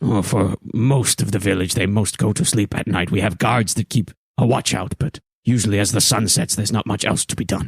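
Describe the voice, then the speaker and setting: Putting on a character voice, a man talks at a fairly quick pace in a fairly low pitch with ordinary pitch variation, the sound dry and close with no echo. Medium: actual play. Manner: gruff, terse.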